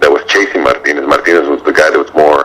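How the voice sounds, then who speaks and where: A man rattles off his words very quickly while noticeable noise fills the background. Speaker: boxing ring announcer. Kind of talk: interview answer, boxing analysis.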